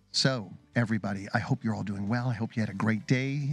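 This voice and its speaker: A man at a fairly quick pace with ordinary pitch variation, a dry sound with no echo and faint music in the background. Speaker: radio show host. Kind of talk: radio show intro. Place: studio. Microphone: studio mic.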